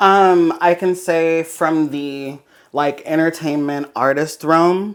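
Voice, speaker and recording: A woman with an American accent talks at a very slow pace. Her pitch is fairly low and her intonation fairly even. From South Los Angeles, California. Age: 30s. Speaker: fashion designer. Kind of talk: interview.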